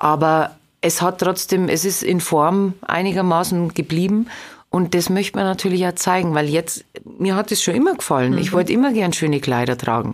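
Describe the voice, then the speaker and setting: A woman with an unremarkable speaking voice and fairly low pitch talks at a moderate pace with lively intonation and very even loudness. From Lower Bavaria, Straubing-Bogen district. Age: 30s. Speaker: singer. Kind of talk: interview.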